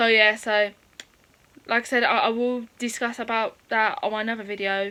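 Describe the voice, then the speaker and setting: Here a woman speaks with an English accent. Her fairly high voice stays monotone and flat. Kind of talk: personal storytime. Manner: fast; halting.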